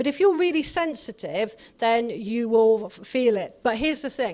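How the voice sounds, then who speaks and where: Against a quiet background, a woman with an English accent speaks at a moderate pace and fairly high pitch, her intonation lively. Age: 60s. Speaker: author and dowsing expert. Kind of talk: talk with audience Q&A. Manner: animated.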